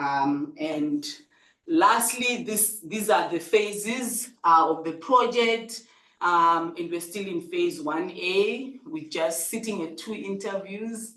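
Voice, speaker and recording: Speaking very slowly with lively intonation, a woman at a medium pitch is heard amid audible room echo. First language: not English. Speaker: researcher presenting at a seminar. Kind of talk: conference presentation. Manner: hesitant, many fillers.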